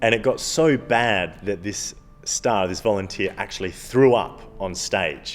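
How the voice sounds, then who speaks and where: A man with an Australian accent, fairly low pitch, ordinary pitch variation and a fairly slow pace. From Australia, Adelaide. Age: 20s. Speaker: stage hypnotist. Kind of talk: documentary interview.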